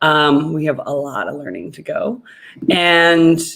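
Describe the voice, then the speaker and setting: A woman with a fairly low pitch speaks with a Canadian accent. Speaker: co-host of business talk show. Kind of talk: casual chat.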